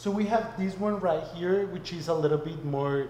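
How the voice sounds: There is audible room echo around a man's dark, mellow tone as he speaks at a moderate pace, his pitch fairly high with ordinary pitch variation.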